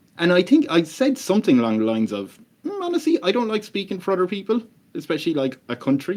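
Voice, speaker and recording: A man's very fast delivery, high-pitched for a man, with very wide pitch swings. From Ireland, Tipperary. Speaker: podcast host and comedian. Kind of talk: casual chat. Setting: podcast recording.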